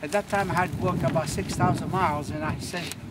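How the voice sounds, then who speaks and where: The voice shows ordinary pitch variation against noticeable background noise. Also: man. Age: 70s. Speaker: power walker. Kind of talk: interview. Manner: halting.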